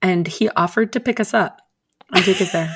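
A woman speaks in a normal speaking voice with an American accent, at a medium pitch with ordinary pitch variation. The recording is very clean, with a silent background. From US, Philadelphia suburbs. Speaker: friend of the host. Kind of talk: casual chat.

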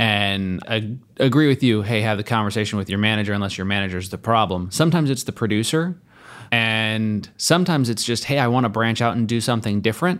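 In a very clean recording with a silent background, a man with a plain, everyday voice talks at a fairly quick pace, medium in pitch with ordinary pitch variation. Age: 30s. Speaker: podcast co-host, insurance agency owner. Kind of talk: casual chat.

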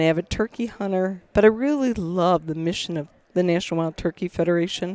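A woman with an American accent speaks at a medium pitch and a moderate pace, her dark, mellow tone showing ordinary pitch variation in a dry, close sound with no echo on a very clean recording with a silent background. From Michigan, US. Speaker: wildlife biologist and conservation organization leader. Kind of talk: interview conversation.

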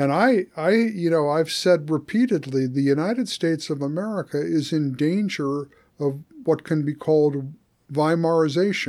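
A man uses a normal speaking voice at a fairly high pitch, with ordinary pitch variation and a moderate pace. The recording is very clean, with a silent background. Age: 60s. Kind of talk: casual conversation.

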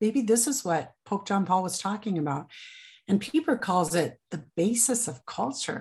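With very wide pitch swings around a medium pitch, a somewhat breathy woman with an American accent speaks over a quiet background. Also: moderate pace. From Nebraska. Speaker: author and book club founder. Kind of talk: interview.

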